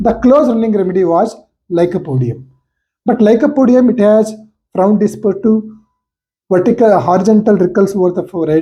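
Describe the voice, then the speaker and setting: With a Karnataka accent, a man with a high pitch and dark, mellow tone speaks at a fairly quick pace, using lively intonation and long, frequent pauses. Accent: Indian English (Kannada). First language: Kannada. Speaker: homeopathy lecturer and doctor. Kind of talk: case-study lecture. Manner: halting, with fillers.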